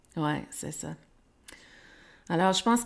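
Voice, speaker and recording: The recording is very clean, with a silent background. A woman with an English accent speaks at a fairly slow pace in a fairly low pitch. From Quebec. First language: English (speaking French). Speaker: podcast host. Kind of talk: interview. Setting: live stream. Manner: halting, many repetitions.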